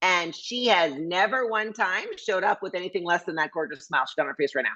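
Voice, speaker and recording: A woman at a very fast pace, animated in tone, with very wide pitch swings. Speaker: motivational speaker. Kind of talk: motivational workshop talk.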